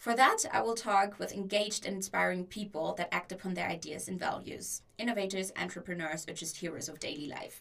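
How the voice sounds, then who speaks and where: A woman with a German accent, medium pitch and lively intonation, fairly quick with hardly any pauses and big swings in loudness, over noticeable background noise. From Germany. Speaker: podcast host and student. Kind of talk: solo podcast introduction.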